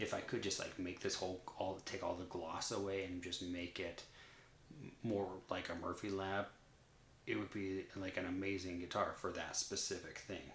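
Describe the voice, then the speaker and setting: A soft-spoken man at a moderate pace, very deep and low in pitch, with monotone, flat intonation and audible room echo. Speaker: guitar reviewer. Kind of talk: casual monologue. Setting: at home at night. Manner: hesitant, filler-heavy.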